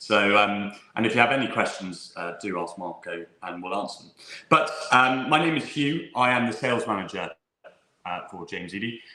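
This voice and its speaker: With an English accent, a man speaks with lively intonation and big swings in loudness, and audible room echo surrounds his voice. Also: fairly low pitch for a man, moderate pace. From England. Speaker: whisky sales manager. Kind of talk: live online tasting presentation. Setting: live online stream.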